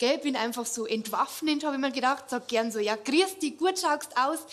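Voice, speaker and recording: A woman in a Bavarian accent speaks at a moderate pace with a high pitch and ordinary pitch variation. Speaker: cabaret comedian. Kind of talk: stand-up. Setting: stage with audience.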